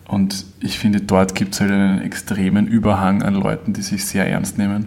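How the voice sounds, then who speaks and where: A man talks at a moderate pace with a flat, monotone delivery. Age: 20s. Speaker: singer and guitarist. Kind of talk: casual interview.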